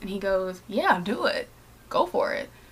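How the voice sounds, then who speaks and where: A woman talks with lively intonation at a medium pitch. Noticeable background noise can be heard. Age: 20s. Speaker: podcast host. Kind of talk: casual monologue.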